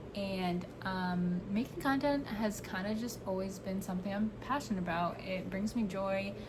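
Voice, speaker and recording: A medium-pitched woman with an American accent at a moderate pace, with ordinary pitch variation and very even loudness, amid audible room echo and noticeable background noise. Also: hardly any pauses. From New York. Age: 20s. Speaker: podcaster. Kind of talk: casual chat.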